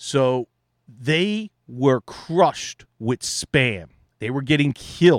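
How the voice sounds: A man with lively intonation in a dry, close sound with no echo.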